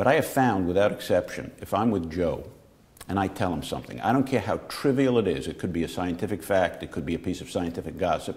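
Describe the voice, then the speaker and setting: Very fast and lively in intonation, a man speaks with an American accent. His pitch is very deep and low. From New York, the Bronx. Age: 60s. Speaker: physician-scientist moderating the interview. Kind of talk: conversational interview. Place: studio. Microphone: lapel.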